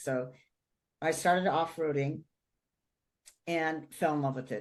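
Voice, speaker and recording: A woman with a very deep, low voice, animated tone and ordinary pitch variation. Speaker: automotive marketing entrepreneur. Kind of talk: podcast interview.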